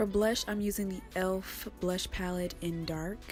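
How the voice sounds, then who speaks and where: A woman at medium pitch with fairly even intonation, music playing in the background. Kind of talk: makeup tutorial voiceover. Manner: low energy.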